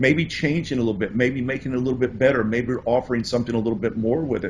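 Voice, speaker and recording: A very fast, somewhat breathy man's voice with an American accent and fairly even intonation. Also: medium pitch for a man. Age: 60s. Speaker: importing course author. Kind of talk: interview.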